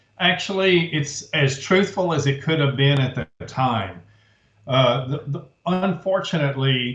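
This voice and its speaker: With a plain, everyday voice, a man speaks fairly slowly, his fairly high pitch carried by lively intonation. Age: 60s. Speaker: author and researcher. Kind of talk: interview.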